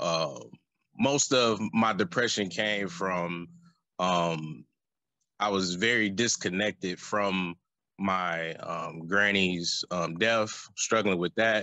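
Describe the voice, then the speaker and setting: A man with an American accent speaks very slowly. His pitch is fairly low. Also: ordinary pitch variation. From US Midwest, Flint, Michigan. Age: 30s. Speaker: interview guest. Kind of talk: testimony. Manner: halting, many fillers.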